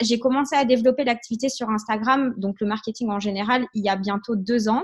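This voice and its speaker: A woman's fairly high voice shows ordinary pitch variation against a quiet background. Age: 20s. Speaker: network marketing trainer. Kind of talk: online training session. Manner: hesitant, many fillers.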